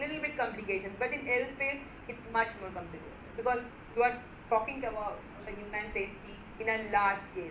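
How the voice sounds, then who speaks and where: In a non-native accent, the speaker moves at a fairly quick pace with fairly even intonation, with noticeable background noise and audible room echo. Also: woman. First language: not Hindi. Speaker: lecturer. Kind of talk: lecture. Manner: halting.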